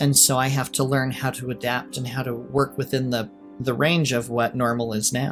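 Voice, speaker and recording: Music plays in the background as a man with an American accent speaks at a moderate pace in a medium pitch, his intonation monotone and flat. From Utah. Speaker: realtor and writer. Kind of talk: podcast interview answer.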